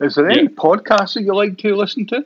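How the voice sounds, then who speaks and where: This man's Scottish accent comes with very wide swings in pitch. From Scotland, Paisley. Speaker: podcast host. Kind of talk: casual interview.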